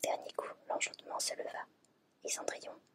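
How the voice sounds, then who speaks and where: Over noticeable background noise, a woman talks at a fairly quick pace in a dry, close sound with no echo. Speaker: ASMR creator. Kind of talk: fairy tale reading from a book.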